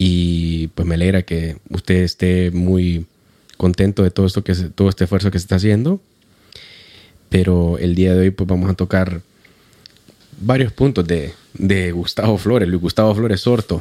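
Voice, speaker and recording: A man's very deep, low voice, dark and mellow in tone, at a moderate pace with long, frequent pauses. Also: fairly even intonation, dry, close sound with no echo. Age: 30s. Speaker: podcast host. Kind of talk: interview.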